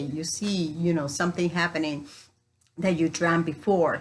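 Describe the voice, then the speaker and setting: With a Spanish accent, a woman speaks at a fairly low pitch and with fairly even intonation. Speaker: spiritual coach. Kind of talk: spiritual teaching talk.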